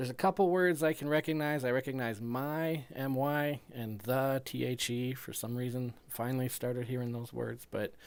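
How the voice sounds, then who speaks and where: At a moderate pace and with hardly any pauses, a normal speaking voice carries ordinary pitch variation. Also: man, medium pitch for a man. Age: 40s. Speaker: amateur radio operator. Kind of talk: casual radio chat. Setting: ham radio transmission.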